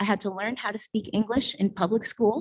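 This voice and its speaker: This woman's voice is somewhat breathy and fairly high, with fairly even intonation. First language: Spanish. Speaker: public commenter at council meeting. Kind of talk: public comment speech. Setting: council meeting chamber. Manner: hesitant, many fillers.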